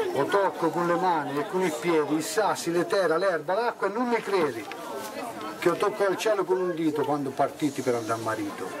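With a Tuscan accent, a man talks at a fairly quick pace in a high pitch with lively intonation, crowd noise behind him. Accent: Garfagnana dialect. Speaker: dialect poet. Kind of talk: poetry reading. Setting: outdoors. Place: street. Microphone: handheld.

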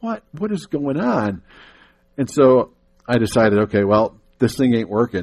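A man's speech moves at a moderate pace. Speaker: guest. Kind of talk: sermon. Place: church.

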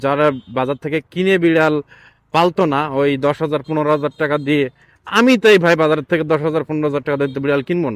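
Fairly high for a man, this voice moves through an ordinary range of pitch. The sound is dry and close, with no echo. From Bangladesh, Khulna. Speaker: cat-keeping vlogger. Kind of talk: casual vlog monologue. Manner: animated.

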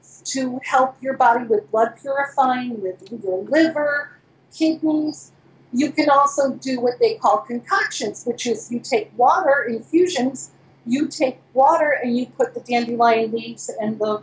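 Her pitch is high for a woman, with big swings in loudness. She speaks at a fairly slow pace amid audible room echo. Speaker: remote guest. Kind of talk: interview answer. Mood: enthusiastic, explanatory. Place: home room. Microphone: video call.

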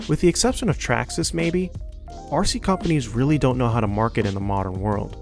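A man races along at a very fast pace over music in the background. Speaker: RC racing hobbyist. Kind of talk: commentary voice-over.

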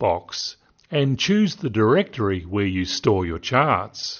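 The man's voice moves in big pitch swings.

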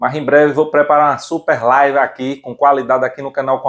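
A man with a Brazilian accent speaks in an excited, animated tone at a fairly high pitch. The background is quiet. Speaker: channel host and seller. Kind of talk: sales pitch. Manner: excited, animated, shouting prices and deals. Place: workshop. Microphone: lapel.

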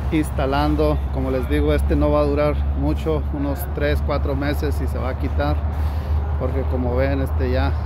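Over loud background noise, a man talks at a moderate pace in a dry sound with no echo. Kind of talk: casual explanatory vlog chat. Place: street. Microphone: phone near.

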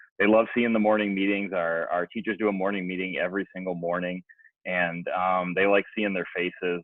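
A man speaks loudly. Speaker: elementary school principal. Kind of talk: board meeting report.

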